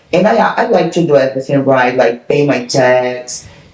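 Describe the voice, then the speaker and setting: The speaker has a Portuguese accent, and there is noticeable background noise. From Brazil. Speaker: podcast co-host and fitness trainer. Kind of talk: casual chat.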